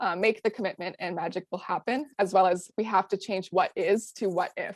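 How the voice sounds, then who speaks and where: A woman with a Canadian accent and an ordinary speaking voice talks at a moderate pace and medium pitch, in a dry, close sound with no echo on a very clean recording with a silent background. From Canada, Ottawa. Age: 20s. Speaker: student activist. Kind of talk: presentation.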